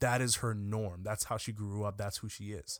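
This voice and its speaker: A man's fairly low voice in an animated tone. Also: very clean recording, silent background. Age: 20s. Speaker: podcast co-host. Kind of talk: casual chat. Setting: studio.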